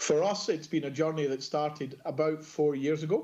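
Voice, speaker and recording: A man with a Scottish accent, fairly high pitch, a dark, mellow tone and a fairly quick pace. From Scotland. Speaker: procurement executive. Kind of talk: conference presentation.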